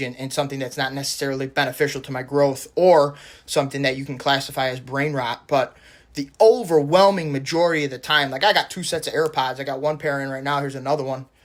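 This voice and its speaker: The man speaks at a very fast pace. His fairly high voice keeps a fairly even intonation. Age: 30s. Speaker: YouTuber, self-improvement commentator. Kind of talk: casual monologue to camera. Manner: halting, many fillers.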